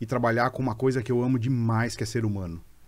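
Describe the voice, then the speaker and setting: The speaker talks at a very fast pace in a dark, mellow tone. The recording is very clean, with a silent background. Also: man. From Brazil, São Bernardo do Campo (São Paulo). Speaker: HR executive. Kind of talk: casual interview chat.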